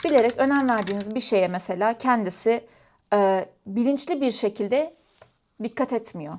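Lively intonation at a moderate pace, long, frequent pauses, and a very clean recording with a silent background. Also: woman, fairly high pitch for a woman. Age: 20s. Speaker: vlogger. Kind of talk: casual chat. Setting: at home, crafting while talking to camera.

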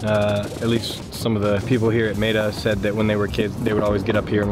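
A man at a very fast pace, dry sound with no echo, music in the background. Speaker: vlogger. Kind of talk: casual vlog chat. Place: open country. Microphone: phone near.

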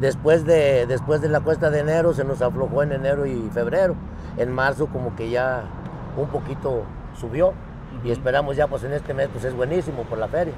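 A man's fairly high voice at a moderate pace, fairly even in intonation, dry with no echo, over noticeable background noise. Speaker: taco stand owner. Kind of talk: casual interview. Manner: halting. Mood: calm, hopeful. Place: street. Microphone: lapel.

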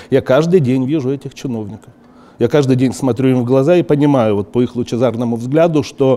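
At a fairly quick pace, a man speaks in a dark, mellow tone. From Ukraine. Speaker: TV journalist, artist and politician; TV journalist, politician. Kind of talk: casual interview talk. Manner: halting, with many filler words. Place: studio.

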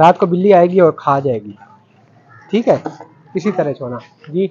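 At a fairly slow pace, a man with a slightly husky edge speaks at a fairly high pitch with lively intonation.

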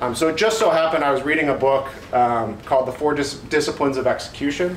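With a Southwestern US accent, a man talks at a very fast pace, his pitch fairly high with ordinary pitch variation. Audible room echo and light background noise are present. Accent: General American (Southwest). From Phoenix, Arizona; Arizona. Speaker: home inspector and business owner. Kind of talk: presentation to real estate agents. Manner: halting with frequent ums. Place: meeting room. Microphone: camera far.

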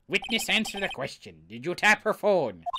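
This is a put-on character voice at a middle pitch. It moves along at a moderate pace. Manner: gruff, courtroom demanding.

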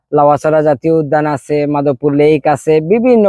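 A man with a Sylheti accent and a fairly high pitch. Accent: Sylheti-tinged Bengali. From Sreemangal, Sylhet, Bangladesh. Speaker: real estate project representative. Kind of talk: promotional tourism talk.

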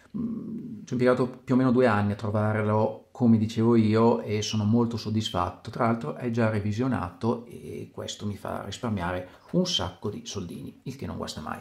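Somewhat breathy, a man speaks with ordinary pitch variation and big swings in loudness. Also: medium pitch for a man, moderate pace. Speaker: watch collector. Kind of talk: video presentation.

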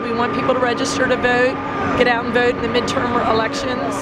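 A woman's voice over loud background noise. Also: dry sound with no echo. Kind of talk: interview answer. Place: street.

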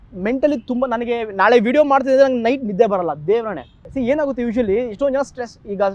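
This man's voice has an extremely high pitch. His pitch varies in an ordinary way. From India, Karnataka (raised in Mumbai and Bengaluru). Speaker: road-safety content creator. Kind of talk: interview.

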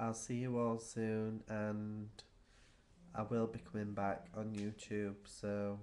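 Over light background noise, a man speaks very slowly in a fairly low, flat monotone. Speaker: vlogger. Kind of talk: casual vlog chat. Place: home room. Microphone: webcam.

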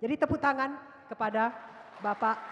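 A woman speaks at a moderate pace with ordinary pitch variation. Crowd noise carries in the background. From Indonesia. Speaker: moderator, professor. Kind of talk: panel moderation. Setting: auditorium with audience. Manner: hesitant fillers. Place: hall. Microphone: handheld.

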